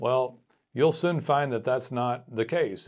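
An unremarkable speaking voice belongs to this man. His pitch is medium and his pace moderate. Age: 40s. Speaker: podcast host and marketing business owner for roofers. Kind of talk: solo podcast monologue.

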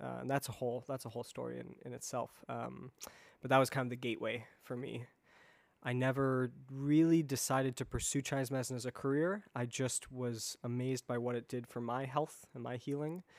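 On a very clean recording with a silent background, a man with an American accent talks at a fairly quick pace. He has an unremarkable speaking voice, medium in pitch, with fairly even intonation. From US Midwest, Chicago area. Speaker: Chinese medicine practitioner, acupuncturist. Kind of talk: podcast interview.

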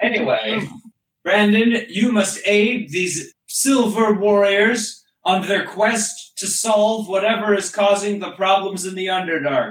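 A man speaks in a put-on character voice, pitched high for a man. His pace is fairly slow, with a slight echo. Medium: actual play. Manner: formal, commanding.

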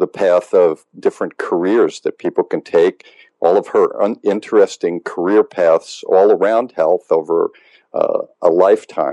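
Dry, close sound with no echo, a fairly slow pace, and very even loudness. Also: man. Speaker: medical doctor host. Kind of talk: casual interview.

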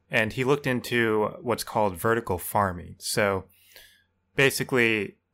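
A man with a fairly low pitch and a bright, sharp tone speaks at a moderate pace. The recording is very clean, with a silent background. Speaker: podcast co-host. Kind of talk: casual comedic chat.

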